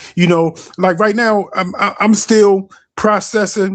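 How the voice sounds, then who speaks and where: Against a quiet background, a man with a Baltimore accent speaks at a high pitch with fairly even intonation. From US, Baltimore. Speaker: caller on a discussion stream. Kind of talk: casual chat. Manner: halting, many repetitions.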